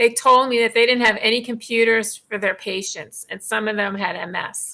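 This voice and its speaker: A woman speaks with a bright, sharp tone at a fairly high pitch, with ordinary pitch variation. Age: 60s. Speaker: patient advocate and blogger. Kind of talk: interview.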